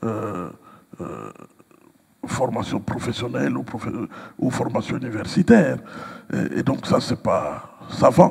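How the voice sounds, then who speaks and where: Over noticeable background noise, a man talks at a very slow pace with long, frequent pauses and big swings in loudness. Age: 60s. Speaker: pastor and writer. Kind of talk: interview. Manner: hesitant, many fillers.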